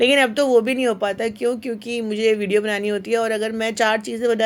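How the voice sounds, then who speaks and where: Her intonation stays flat and monotone while this woman talks at a fairly high pitch. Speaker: lifestyle vlogger. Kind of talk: home vlog tutorial. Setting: home kitchen. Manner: hesitant fillers.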